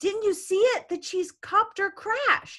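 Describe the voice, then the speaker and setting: Putting on a squeaky character voice, a woman speaks at an extremely high pitch and a fairly slow pace. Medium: read story. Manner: warm, enthusiastic.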